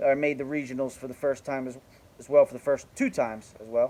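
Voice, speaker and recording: A man with a dark, mellow tone talks in a New Jersey accent. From New Jersey, South Jersey. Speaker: youth baseball coach and vlogger. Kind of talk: casual monologue introduction.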